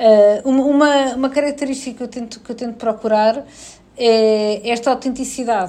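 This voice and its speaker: Speaking with a European Portuguese accent, a woman has a high pitch, a dark, mellow tone and fairly even intonation. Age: 40s. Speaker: HR director. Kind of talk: interview.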